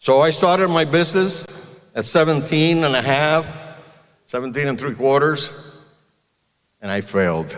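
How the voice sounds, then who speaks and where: A man with a Spanish accent speaks at a fairly high pitch and a moderate pace, with ordinary pitch variation. He leaves long, frequent pauses, and audible room echo hangs around his voice. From Cuba. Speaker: car dealer. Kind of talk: commencement speech.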